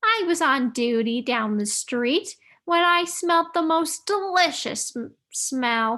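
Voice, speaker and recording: In a put-on character voice, a woman speaks at a fairly slow pace with an extremely high pitch and very wide pitch swings, on a very clean recording with a silent background. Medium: read story.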